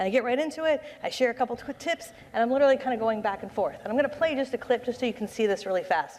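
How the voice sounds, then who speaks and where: Words pour out extremely fast. The pitch rises and falls by a normal amount. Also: woman, high pitch for a woman. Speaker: conference speaker, social media consultant. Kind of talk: conference presentation. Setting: stage with audience. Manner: animated.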